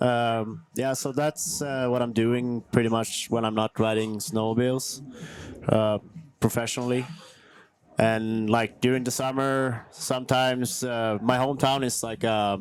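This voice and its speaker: A man with a Swedish accent at a fairly slow pace, with noticeable background noise. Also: medium pitch for a man, fairly even intonation. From northern Sweden (Kiruna). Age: 30s. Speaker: snowmobile freestyle athlete. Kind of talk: casual interview. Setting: outdoors at event venue near concert stage.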